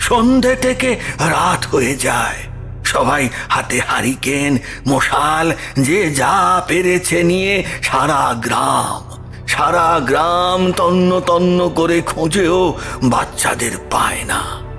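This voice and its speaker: Over clear background music, a man speaks at a very slow pace in a put-on character voice with a high pitch. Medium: audio drama. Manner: hesitant, halting, repeats words.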